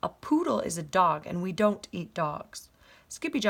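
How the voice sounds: Natural voice, reading aloud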